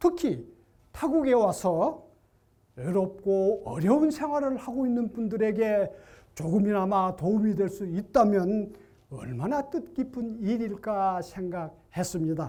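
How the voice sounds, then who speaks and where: A man speaks very slowly in a high, dark, mellow voice. His pitch swings very widely. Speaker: retired volunteer, contest presenter. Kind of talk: prepared storytelling speech.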